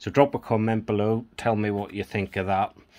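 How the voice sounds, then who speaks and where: Against a quiet background, a man speaks with a Northern Irish accent and fairly even intonation. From Northern Ireland. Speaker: coin collector YouTuber. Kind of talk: casual video vlog, showing coins. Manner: relaxed, conversational.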